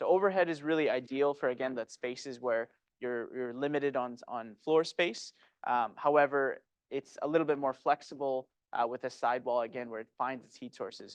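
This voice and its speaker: A man of medium pitch talks at a fairly quick pace with fairly even intonation and big swings in loudness. The sound is dry and close with no echo, over a quiet background. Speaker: HVAC manufacturer engineer presenting. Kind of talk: technical presentation. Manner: fast; halting, many fillers.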